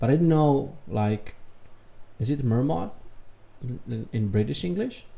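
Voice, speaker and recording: At a fairly slow pace and with long, frequent pauses, a man with a Serbian accent speaks at a medium pitch in a dark, mellow, somewhat breathy tone. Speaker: reaction youtuber. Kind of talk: reaction commentary.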